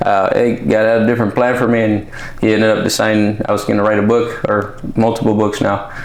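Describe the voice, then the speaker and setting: A man talks with monotone, flat intonation and very even loudness. Noticeable background noise and audible room echo fill the recording. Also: fairly low pitch for a man, fairly quick pace. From California Central Valley, also Mexicali. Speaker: author and military veteran. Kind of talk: podcast interview. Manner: casual, with many fillers.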